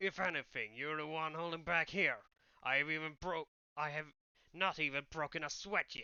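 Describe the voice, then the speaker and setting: In a put-on character voice, a man speaks raspy and smug at a fairly high pitch. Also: moderate pace. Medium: read story. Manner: smug, boastful.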